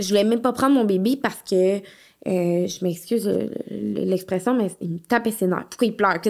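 In a Quebec accent, a woman speaks at a medium pitch. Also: ordinary pitch variation, moderate pace. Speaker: licensed practical nurse and home postpartum care entrepreneur. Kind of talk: casual interview.

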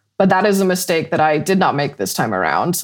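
This woman has a medium pitch, vocal fry and lively intonation, with an American accent. The recording is very clean, with a silent background. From Colorado, Weld County. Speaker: emergency management consultant and meteorologist. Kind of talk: interview.

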